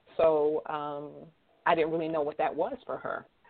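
Talking at a moderate pace with an American accent, a woman has a plain, everyday voice. Her pitch is fairly low, with ordinary pitch variation. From Erie, Pennsylvania. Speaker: author and speaker. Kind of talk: interview testimony.

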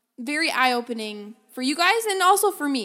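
A loud, animated woman at a moderate pace, her intonation lively. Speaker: podcast host. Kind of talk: solo podcast monologue. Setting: home office with microphone, slight echo.

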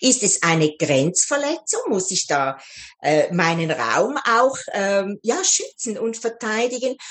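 Against noticeable background noise, a woman speaks very slowly in a fairly high voice, with very wide swings in pitch. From Switzerland. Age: 60s. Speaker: life coach. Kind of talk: interview.

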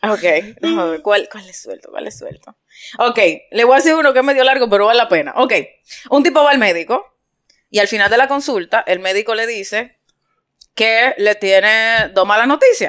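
With an animated tone, a woman speaks at a fairly high pitch and a moderate pace, showing ordinary pitch variation, big swings in loudness, and long, frequent pauses. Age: 40s. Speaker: podcast host. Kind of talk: casual chat.

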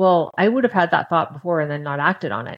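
With ordinary pitch variation, a woman speaks fairly low in pitch in an ordinary speaking voice. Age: 50s. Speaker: podcast guest, former long-term dieter. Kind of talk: casual interview.

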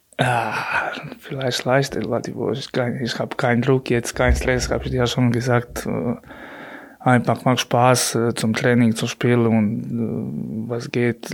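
A man with a Croatian accent talks at a medium pitch, his intonation fairly even. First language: Croatian (speaking German). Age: 30s. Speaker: handball goalkeeper. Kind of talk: interview.

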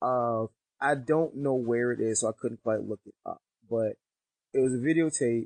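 Delivered in a normal speaking voice with an American accent, the speech moves at a moderate pace with fairly even intonation. Loudness swings a lot, and the sound is dry and close with no echo. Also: man, medium pitch for a man. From US Northeast. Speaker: podcast co-host. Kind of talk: casual chat.

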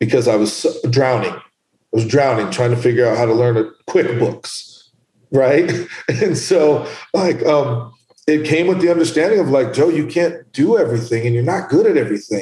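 The man has an ordinary speaking voice, and his intonation is lively as he goes at a moderate speed. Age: 40s. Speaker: entrepreneur and boxing gym owner. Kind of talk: casual interview.

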